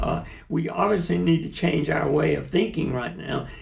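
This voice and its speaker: The speaker has a South Carolina accent. Noticeable background noise and audible room echo fill the recording. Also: man. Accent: Southern American (South Carolina). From US South. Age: 70s. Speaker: lawyer and activist. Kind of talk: interview.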